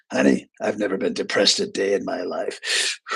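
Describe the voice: A man puts on a gravelly character voice. He speaks at a moderate pace.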